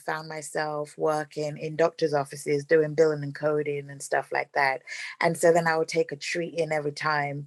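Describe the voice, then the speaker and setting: A woman with a London accent speaks in a very deep, low voice with monotone, flat intonation. She leaves hardly any pauses, against a quiet background. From London, England. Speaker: real estate investor. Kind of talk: interview.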